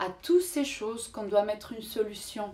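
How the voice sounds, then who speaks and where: With a Spanish accent, a woman talks in a fairly high pitch and with lively intonation. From Mexico. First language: Spanish (speaking French). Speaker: vlogger. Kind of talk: motivational vlog talk. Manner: halting, searching for words.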